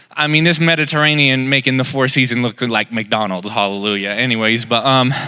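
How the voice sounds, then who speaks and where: A man with a Southern US accent, medium pitch and a bright, sharp tone, with hardly any pauses. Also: ordinary pitch variation, fairly quick pace. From Texas, Dallas. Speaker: comedian. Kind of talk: stand-up. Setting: stage with audience.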